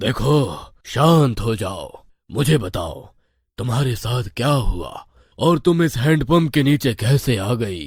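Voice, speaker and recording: Putting on a cartoonish character voice, a man talks fairly slowly at medium pitch with lively intonation. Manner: solemn, authoritative.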